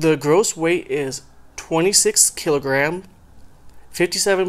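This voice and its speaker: Very slow in pace, a man speaks at a high pitch with ordinary pitch variation. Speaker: audio equipment hobbyist. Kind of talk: scripted product review read.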